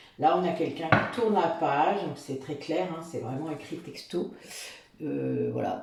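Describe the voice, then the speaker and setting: Amid noticeable background noise and audible room echo, a woman speaks with a very deep, low pitch. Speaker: tarot reader and spiritual guide. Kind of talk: tarot reading guidance. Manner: halting, many fillers.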